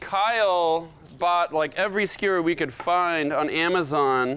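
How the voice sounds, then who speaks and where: Light background noise sits behind a man with a high-pitched voice. His pitch varies in an ordinary way. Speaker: chef host. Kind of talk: tutorial. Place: kitchen. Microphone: lapel.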